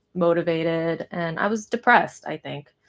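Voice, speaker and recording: A woman with a Californian accent talks at a moderate pace with ordinary pitch variation. The recording is very clean, with a silent background. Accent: Californian American. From US West Coast, Pasadena near Los Angeles. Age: 30s. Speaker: artist. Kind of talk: casual live stream chat while painting. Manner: rambling, hesitant with fillers.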